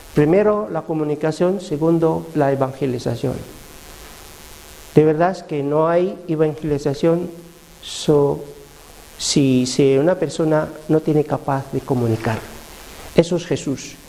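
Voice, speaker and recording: A man with a non-native accent speaks at a fairly high pitch and a fairly slow pace, with ordinary pitch variation. Long, frequent pauses break up his speech, and noticeable background noise is present. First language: not Spanish (speaking Spanish). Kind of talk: religious teaching talk. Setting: parish prayer group meeting. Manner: halting, with hesitations.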